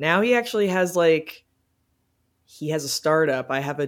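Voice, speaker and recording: This woman has a very deep, low voice. She speaks with an American accent. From Cincinnati, Ohio, US Midwest. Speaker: indie rock musician, singer-songwriter. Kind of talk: casual interview chat. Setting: remote call. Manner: casual, many filler words.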